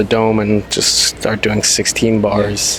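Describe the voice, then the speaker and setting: A man with an American accent speaks in a fairly low pitch with monotone, flat intonation, over noticeable background noise. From New York, Queens. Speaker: musician and songwriter. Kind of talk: casual chat.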